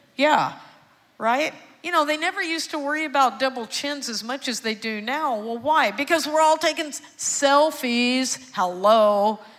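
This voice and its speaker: With a Texan accent, a woman talks at a moderate pace in a high pitch, her tone animated and her intonation lively. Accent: Texan Southern US. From Texas, Houston. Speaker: psychiatrist. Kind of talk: sermon-style testimony, evangelical preaching in full flow to a church congregation. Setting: church stage with congregation. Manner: animated, rising call-and-response cadence with rhetorical questions; emphatic repetition, building passion.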